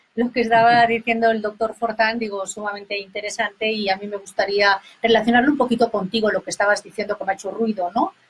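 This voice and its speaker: With a Catalan accent, a woman speaks at a very fast pace with hardly any pauses, her fairly high, somewhat breathy voice held to a monotone, flat intonation. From Catalonia, Spain. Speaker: historian, professor. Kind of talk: radio interview. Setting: radio studio.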